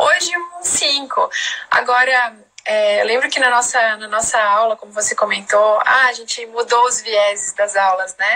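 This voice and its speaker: Against noticeable background noise, a woman speaks fairly slowly at a fairly high pitch with ordinary pitch variation and big swings in loudness. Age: 30s. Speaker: integrative therapist and live host. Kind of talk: casual chat. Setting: live stream.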